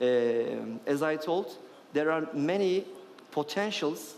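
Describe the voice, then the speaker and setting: Noticeable background noise sits under a man talking with a fairly high pitch. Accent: Turkish. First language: Turkish. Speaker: venture capital investor. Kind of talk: panel discussion. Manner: halting, many fillers.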